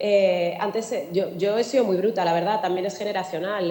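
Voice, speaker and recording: The speaker has a southern Madrid accent and a moderate pace. Noticeable background noise and audible room echo fill the recording. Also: woman. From Spain, Alcorcón (southern Madrid). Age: 40s. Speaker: journalist and anti-racist activist. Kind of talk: panel talk.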